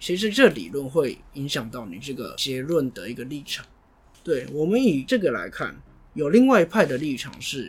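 A man talks at a moderate pace in a fairly high, somewhat breathy voice, with very wide pitch swings and big swings in loudness. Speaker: podcast host. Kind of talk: casual policy discussion.

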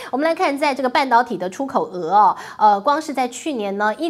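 A woman is speaking. Her pitch swings very widely. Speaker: news commentary host. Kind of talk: solo commentary on international finance. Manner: animated.

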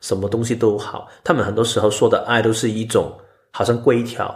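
At a fairly quick pace, a man talks in a somewhat breathy voice of medium pitch. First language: Cantonese (speaking Chinese). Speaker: podcast co-host and editor, Human Design enthusiast. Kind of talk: casual chat.

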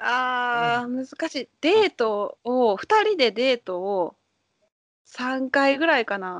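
A woman speaks at a very slow pace in a high pitch, her voice swinging very widely up and down. The background is quiet. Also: big swings in loudness, dry, close sound with no echo. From Japan. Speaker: Japanese language teacher. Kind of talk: casual chat. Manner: animated.

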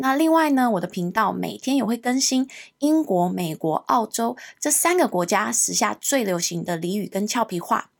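A woman talks at a moderate pace in a fairly high pitch. Her pitch swings very widely. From Hong Kong. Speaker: English teacher and podcast host. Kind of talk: podcast self-introduction.

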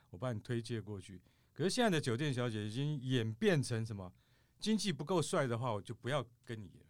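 A man's medium-pitched voice with lively intonation, a fairly quick pace and big swings in loudness, on a very clean recording with a silent background. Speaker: podcast host. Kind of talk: casual chat.

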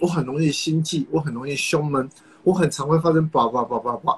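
Over noticeable background noise, a man with a Taiwanese accent speaks at a fairly high pitch. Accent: Taiwanese Mandarin. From Taiwan, Kaohsiung (south). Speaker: nutritionist and fitness coach. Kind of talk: casual advice interview.

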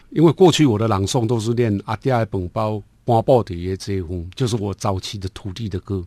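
A man talks at a fairly quick pace with hardly any pauses, his dark, mellow voice set fairly low, with ordinary pitch variation, in a dry, close sound with no echo over a quiet background. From Taiwan, Nantou (Lugu). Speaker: poet. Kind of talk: interview conversation.

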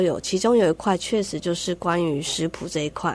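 In a Taiwanese accent, a woman talks at a medium pitch. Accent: Taiwanese Mandarin. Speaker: wildlife conservation researcher. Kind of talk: radio interview. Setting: studio.

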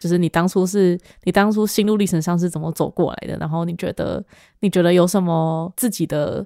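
Her voice has a dark, mellow tone at a fairly low pitch, and the woman keeps a fairly even intonation at a fairly quick pace. The sound is dry and close, with no echo. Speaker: podcast host. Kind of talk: casual interview. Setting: in-person recording at home.

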